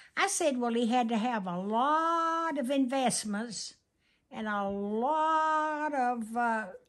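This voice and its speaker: Against a quiet background, a woman talks very slowly in a high voice with lively intonation. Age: 80s+. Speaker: grandmother. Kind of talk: casual interview answer. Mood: playful, humorous. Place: home room. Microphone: phone near.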